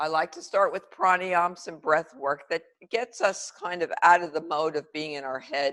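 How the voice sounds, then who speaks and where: At a moderate pace, an unremarkable speaking voice keeps fairly even intonation while swinging widely in loudness. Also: woman, fairly low pitch for a woman. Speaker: yoga teacher. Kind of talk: guided yoga class instruction. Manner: calm, measured.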